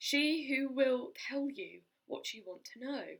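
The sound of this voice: A woman's high-pitched put-on character voice at a fairly slow pace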